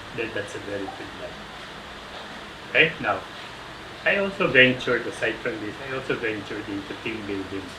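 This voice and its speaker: A man at a medium pitch talks at a moderate pace with lively intonation, big swings in loudness and long, frequent pauses, over noticeable background noise and audible room echo. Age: 60s. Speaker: veteran sportswriter. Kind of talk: interview.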